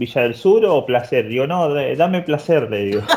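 Here a man speaks with a Rioplatense accent. His intonation is lively and his pace fairly slow. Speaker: podcast co-host. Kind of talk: casual chat.

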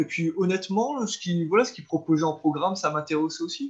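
A man speaks at a fairly slow pace. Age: 20s. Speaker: school canteen cook and house renovator. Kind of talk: interview. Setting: call. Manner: halting.

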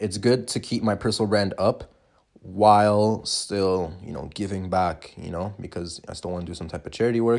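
A man with a normal speaking voice, fairly low in pitch with ordinary variation, at a moderate pace, with big swings in loudness against a quiet background. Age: 20s. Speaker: podcast host, young entrepreneur. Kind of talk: solo podcast monologue, personal story. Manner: casual, filler-heavy.

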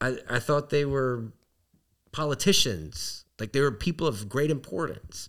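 Here a man has a normal speaking voice with a fairly high pitch. He talks at a fairly slow pace with ordinary pitch variation. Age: 30s. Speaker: podcast host. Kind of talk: casual chat. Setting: around a dining room table.

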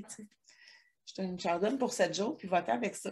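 Somewhat breathy woman at medium pitch and fairly quick pace, very clean recording with a silent background. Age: 40s. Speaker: hair extension technician, wellness consultant, podcast co-host. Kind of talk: casual chat. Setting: her shop, recording at a computer.

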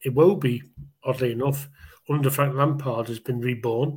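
The man's voice is somewhat breathy and medium in pitch. His intonation is fairly even. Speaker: Everton fan guest. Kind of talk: casual chat about football.

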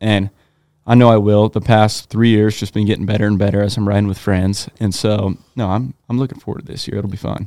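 Speaking at a fairly quick pace with fairly even intonation, the voice has a dark, mellow tone and a Pacific Northwest accent, in a very clean recording with a silent background. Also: man, fairly low pitch for a man. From Eastern Oregon, US. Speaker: snowmobiler and electrician apprentice. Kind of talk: casual chat.

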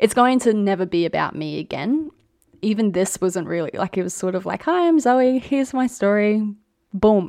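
The voice has a dark, mellow tone and an Australian accent. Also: woman, medium pitch for a woman, lively intonation, moderate pace. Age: 20s. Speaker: podcast host, nurse and midwife. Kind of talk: casual solo chat.

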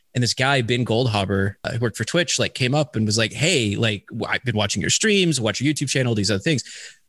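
Against a quiet background, a man with a normal speaking voice talks at a fairly quick pace at medium pitch, with a dry, close sound and no echo. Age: 30s. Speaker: esports commentator turned business development manager. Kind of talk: casual interview.

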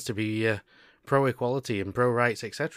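A man talks at a fairly quick pace in an animated tone. The recording is very clean with a silent background. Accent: British. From UK. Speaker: podcast host. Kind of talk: casual chat. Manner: animated, joking.

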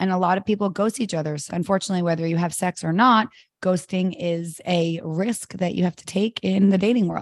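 A woman's normal speaking voice at a medium pitch, fairly quick pace and ordinary pitch variation, with big swings in loudness and a dry, close sound with no echo on a very clean recording with a silent background. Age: 30s. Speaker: matchmaker and podcast co-host. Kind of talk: casual chat.

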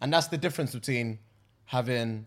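A medium-pitched man talks at a very fast pace on a very clean recording with a silent background. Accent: London. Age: 20s. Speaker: podcast co-host. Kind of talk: casual chat.

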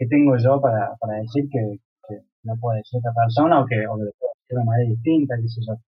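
A man at a medium pitch, fairly quick and fairly even in intonation, with music in the background. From Córdoba, Argentina. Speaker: visual artist. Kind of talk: casual interview.

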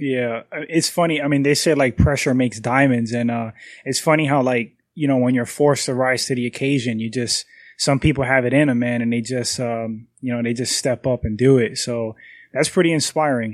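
Over a quiet background, a man with an unremarkable speaking voice talks at a fairly quick pace, his medium pitch carrying fairly even intonation. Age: 30s. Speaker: podcast co-host. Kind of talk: casual chat.

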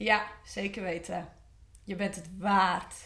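In a room with audible echo, a woman talks at a very slow pace, her medium-pitched voice somewhat breathy. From West-Friesland, Netherlands. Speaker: former coaching client. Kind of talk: personal testimony. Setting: studio.

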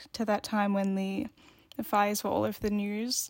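Female speech with an Australian accent, very cleanly recorded against a silent background. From Australia, Victoria. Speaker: podcast co-host. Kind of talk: casual discussion.

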